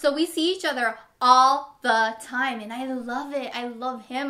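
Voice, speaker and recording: This woman has a high-pitched, bright and sharp voice. Her tone is animated. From Long Beach, California (born in Manila). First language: Tagalog. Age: 30s. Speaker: family vlogger. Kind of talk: casual Q&A chat to camera.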